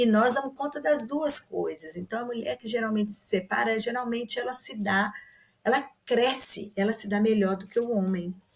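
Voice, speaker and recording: At a moderate pace, the speaker sounds somewhat breathy. Pitch shifts in an ordinary way. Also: woman, fairly high pitch for a woman. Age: 60s. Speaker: literature commentator guest. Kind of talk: podcast discussion.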